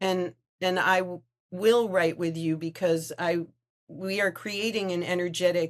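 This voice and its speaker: A woman talks at a fairly slow pace. Her pitch is fairly low. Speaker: writing coach. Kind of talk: interview. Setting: video call. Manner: halting.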